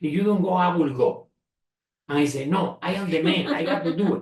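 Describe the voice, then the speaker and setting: A man with a Spanish accent, high pitch, ordinary pitch variation and a fairly quick pace. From Spain. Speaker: retired engineer and entrepreneur. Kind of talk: family interview. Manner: halting, many repetitions.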